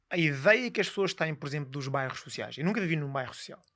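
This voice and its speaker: Fairly quick male speech, bright and sharp in tone, on a very clean recording with a silent background. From Lisbon, Portugal (born Guinea-Bissau, moved at 11). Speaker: high-performance coach. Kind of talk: podcast interview. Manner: eloquent.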